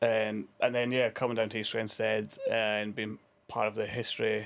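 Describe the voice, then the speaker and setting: A man with a Scottish accent at a moderate pace. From Scotland, Dundee. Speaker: former international hockey player and coach. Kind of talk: casual interview.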